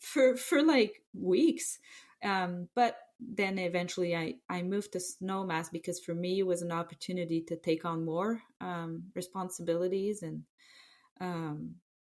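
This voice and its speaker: In a French Canadian accent, a woman speaks at a medium pitch and a fairly slow pace. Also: ordinary pitch variation. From Quebec City, Canada. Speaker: former ski terrain park manager. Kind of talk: podcast interview. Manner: halting, many fillers.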